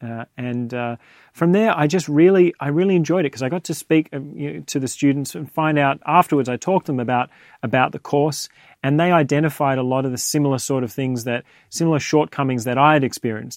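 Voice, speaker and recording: In an Australian accent, the speaker talks very fast with ordinary pitch variation, recorded dry and close with no echo in a very clean take over a silent background. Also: man, fairly high pitch for a man. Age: 30s. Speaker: audio engineer and studio owner. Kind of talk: casual interview. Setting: recording studio. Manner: halting, many fillers.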